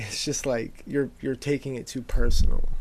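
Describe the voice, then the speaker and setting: Against a silent background, a man's voice comes through on a very clean recording. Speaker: podcast co-host. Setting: studio. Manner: profane, casual.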